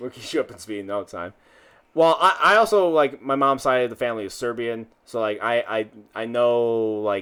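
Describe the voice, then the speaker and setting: A plain, everyday voice from a man, medium in pitch, at a moderate pace with ordinary pitch variation and big swings in loudness, over a very clean recording with a silent background. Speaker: streamer. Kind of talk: casual chat. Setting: live stream.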